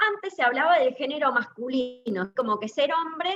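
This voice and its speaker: Her voice high and her intonation lively, a woman is speaking. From Argentina, Mendoza. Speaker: cardiologist. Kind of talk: lecture. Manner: fast.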